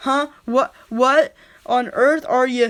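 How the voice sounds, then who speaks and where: A female-sounding voice uses a put-on character voice pitched high for a woman. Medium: read story. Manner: arrogant, menacing.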